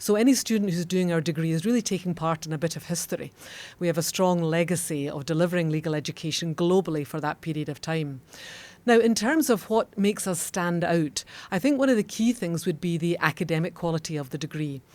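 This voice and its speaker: This woman talks at a very fast pace in a Scottish accent. Her voice sits fairly low, with ordinary pitch variation. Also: very clean recording, silent background. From Scotland. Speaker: law school dean. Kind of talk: podcast interview. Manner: formal.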